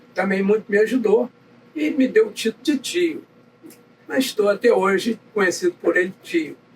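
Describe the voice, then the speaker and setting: Very wide pitch swings at a moderate pace over noticeable background noise. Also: man. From Brazil, Nova Friburgo, Rio de Janeiro state. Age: 80s+. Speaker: navy veteran. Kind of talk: interview, life story. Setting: chapel.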